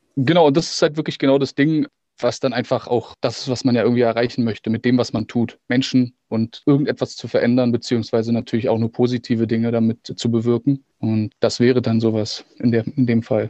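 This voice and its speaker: A man speaks at a fairly quick pace with hardly any pauses, at a medium pitch. His intonation is fairly even, and his is an unremarkable speaking voice. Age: 30s. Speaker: actor and musician. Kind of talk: casual interview.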